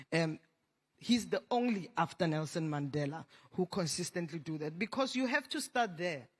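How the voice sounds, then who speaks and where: The speaker has a Tswana accent and talks at a moderate pace. The recording is very clean, with a silent background. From South Africa. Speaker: panelist, LGBTI health advocate. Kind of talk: panel discussion.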